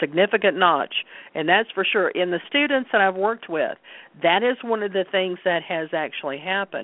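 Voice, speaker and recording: Using an unremarkable speaking voice, a woman talks at a medium pitch with ordinary pitch variation. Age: 60s. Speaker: Reiki practitioner and card reader. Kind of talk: interview conversation.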